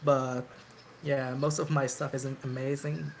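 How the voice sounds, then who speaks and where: Speaking with a non-native accent, the voice moves at a fairly slow pace. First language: not English. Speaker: chiptune musician. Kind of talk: casual chat.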